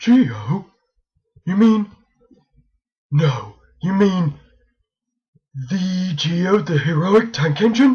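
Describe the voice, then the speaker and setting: A cartoonish character voice at middle pitch, very slow, with long, frequent pauses. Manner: fretful, stammering.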